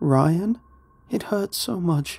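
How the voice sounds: The put-on character voice moves at a very slow pace, with lively intonation, vocal fry, a slightly mellow tone and a slightly husky edge.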